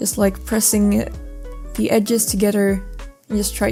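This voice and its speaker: Background music plays throughout. The woman keeps a moderate pace. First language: not English. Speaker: mask maker. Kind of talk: craft tutorial voice-over.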